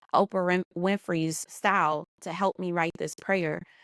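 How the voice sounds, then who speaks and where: On a very clean recording with a silent background, a woman with an American accent and a fairly low pitch sounds dry and close, with no echo. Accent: New Orleans accent, comes out at times. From US South, New Orleans. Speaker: business and marketing consultant. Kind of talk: podcast interview.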